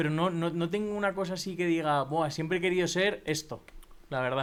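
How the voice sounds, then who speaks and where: Fairly quick delivery from a man, high in pitch, with ordinary pitch variation. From Spain, Valencia. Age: 30s. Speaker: podcaster and marketing entrepreneur. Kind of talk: interview conversation. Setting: in person, Madrid. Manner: casual, hesitant with filler words.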